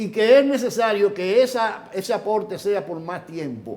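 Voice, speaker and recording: At a fairly slow pace, a man talks in a high pitch with lively intonation. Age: 70s. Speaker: economist. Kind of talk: interview.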